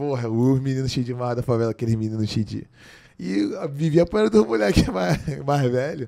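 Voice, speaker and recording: A man talks at a fairly quick pace with ordinary pitch variation. His tone is dark and mellow, over a quiet background. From Brazil. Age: 20s. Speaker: jiu-jitsu athlete; podcast guest. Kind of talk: casual chat. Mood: relaxed, smiling, reflective. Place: studio. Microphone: studio mic.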